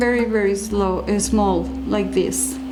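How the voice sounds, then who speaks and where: A woman speaks with a Mexican accent. Noticeable background noise can be heard. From Mexico. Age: old. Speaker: curandera, spiritual instructor. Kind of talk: how-to demonstration to camera.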